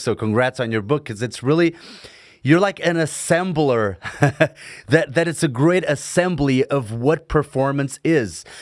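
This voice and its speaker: Speaking with a non-native accent, a man talks at a moderate pace with ordinary pitch variation on a very clean recording with a silent background. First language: Portuguese. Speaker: podcast host, stuntman. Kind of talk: casual interview. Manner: stumbling, halting.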